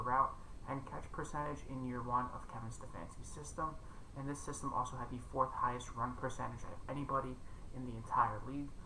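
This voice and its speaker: A man speaks quietly at a fairly quick pace. Audible room echo surrounds his voice. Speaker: fantasy football content creator. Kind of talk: casual commentary monologue.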